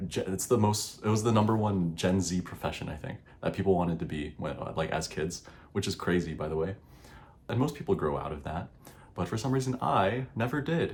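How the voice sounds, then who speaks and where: Quiet and somewhat breathy, a man speaks in a fairly low pitch. His pace is fairly quick and his intonation lively. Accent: American. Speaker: YouTuber. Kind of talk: casual vlog monologue. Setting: home recording at night. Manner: hesitant, many fillers.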